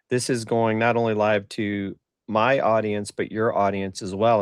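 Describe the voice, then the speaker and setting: Against a quiet background, a man talks at a moderate pace in a fairly low pitch with monotone, flat intonation. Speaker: marketing podcast host. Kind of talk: casual chat.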